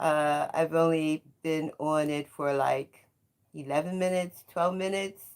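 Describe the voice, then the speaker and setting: A woman's very deep, low voice in an American accent, very slow, with fairly even intonation. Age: 70s. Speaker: retired educator and storyteller livestreaming. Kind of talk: casual live-stream monologue. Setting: home bedroom.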